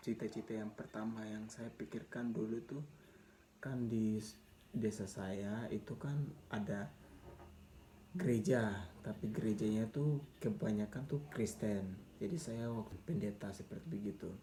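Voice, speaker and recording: Somewhat breathy and at a fairly low pitch, a man speaks at a fairly slow pace with ordinary pitch variation. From Papua highlands, Indonesia. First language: Mee (Papuan language) (speaking Indonesian). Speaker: vlogger sharing life story. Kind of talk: personal storytelling. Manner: casual, halting with repetitions.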